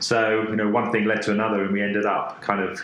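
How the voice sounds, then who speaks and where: A man with a British accent talks at a very fast pace in a fairly low, monotone voice with flat intonation. Audible room echo and noticeable background noise surround him. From UK. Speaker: design agency creative director. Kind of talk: podcast interview. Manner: halting, many fillers and repetitions.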